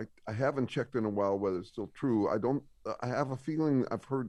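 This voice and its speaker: This is a man with an ordinary speaking voice. His pitch is medium, with ordinary variation. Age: 60s. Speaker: scientist and author. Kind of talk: casual interview.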